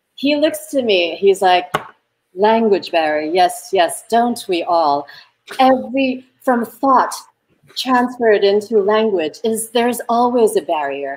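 Speaking at a fairly slow pace, a woman with an American accent uses a fairly high pitch and very wide pitch swings. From Taiwan. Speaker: film director; interview guest. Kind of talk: interview conversation; interview answer. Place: home room.

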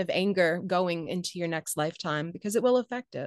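Against a quiet background, a woman speaks with fairly low pitch and ordinary pitch variation. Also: dry sound with no echo. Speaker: author and former journalist. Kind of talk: casual interview chat. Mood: warm, animated. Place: home room. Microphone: video call.

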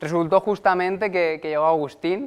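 This man talks at a fairly slow pace. His intonation stays fairly even. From Valencia, Spain; Spain. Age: 20s. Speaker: network marketing presenter; presenter. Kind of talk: sales pitch. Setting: stage with audience. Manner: halting. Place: meeting room. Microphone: lapel.

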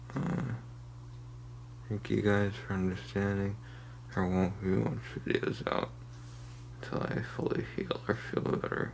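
Amid noticeable background noise and audible room echo, a man speaks fairly slowly in a very deep, low pitch with very wide pitch swings and long, frequent pauses. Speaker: youtuber. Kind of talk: casual vlog. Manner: woozy, halting.

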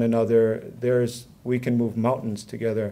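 His tone is dark and mellow. The man keeps to a moderate pace. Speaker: conference attendee. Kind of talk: personal testimony. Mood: earnest, reflective. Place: hall. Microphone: podium.

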